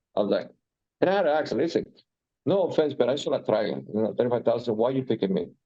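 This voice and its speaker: This man talks very fast at a medium pitch, his pitch swinging very widely. His loudness stays very even. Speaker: real estate agent. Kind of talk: group training discussion. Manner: animated.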